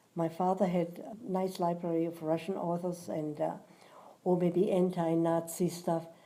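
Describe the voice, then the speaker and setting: A woman with a Swabian accent speaks at a moderate pace in a fairly low pitch with monotone, flat intonation. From southern Germany, Göppingen near Stuttgart. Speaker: war witness. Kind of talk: oral history interview.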